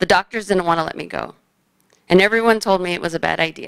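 A woman with a fairly low pitch and vocal fry speaks at a very fast pace. Her pitch variation is ordinary, against a quiet background. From Phoenix, Arizona. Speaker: high school basketball coach and cancer survivor. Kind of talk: personal story told to an audience. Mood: serious, reflective. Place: hall. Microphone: podium.

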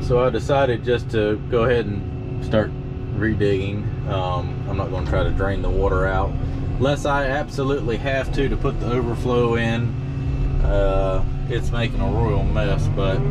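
Loud background noise surrounds a man speaking. He goes at a moderate pace with ordinary pitch variation. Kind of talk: casual vlog commentary. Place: farm machine.

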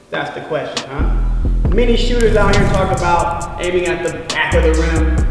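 A man talking at a fairly quick pace amid audible room echo and clear music in the background. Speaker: basketball coach. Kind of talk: coaching instruction. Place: hall.

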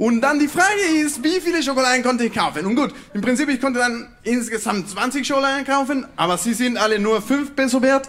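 A man's extremely high-pitched voice at a fairly quick pace, with hardly any pauses, very even loudness and ordinary pitch variation. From Mexico. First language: Spanish (speaking German). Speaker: PhD student in physics; presenter. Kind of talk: science slam talk; humorous popular science talk. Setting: stage with audience. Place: stage. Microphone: handheld.

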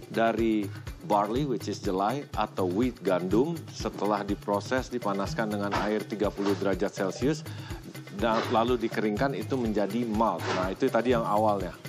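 Fairly low male pitch, moderate pace and ordinary pitch variation, with clear music playing behind the man. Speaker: TV host. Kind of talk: presenter explanation to camera. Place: farm machine.

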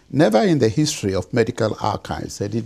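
A man speaks at a fairly low pitch in a dark, mellow tone with lively intonation. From Ghana. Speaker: physician and genetics professor; genetics professor. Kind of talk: lecture. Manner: formal. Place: home room.

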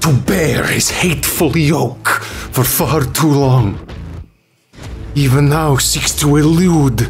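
Clear music plays in the background. A man in a put-on character voice speaks very slowly at a medium pitch. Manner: grand, incantatory, commanding.

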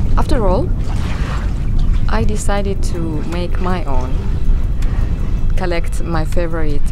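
A woman at a fairly slow pace, music in the background, and a dry sound with no echo. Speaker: sailing vlogger. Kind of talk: casual vlog chat. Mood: calm, relaxed. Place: boat. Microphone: phone near.

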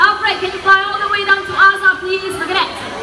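A woman speaks in an extremely high pitch with a raised, projected voice at a moderate pace. Audible room echo and noticeable background noise surround her. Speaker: bird show presenter. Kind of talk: live bird show presenter patter to an audience, explaining and cueing birds. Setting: outdoor stage with audience at a bird park. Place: stadium.

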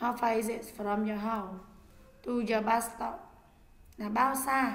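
In a room with audible echo, a woman with a fairly high pitch speaks at a fairly slow pace. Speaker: English teacher. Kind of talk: lecture.

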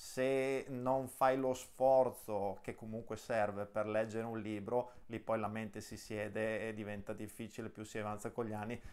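This man speaks at a fairly slow pace with a fairly low pitch. His intonation is monotone and flat. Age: 30s. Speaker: interview show host. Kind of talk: interview. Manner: halting, many repetitions. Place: home room.

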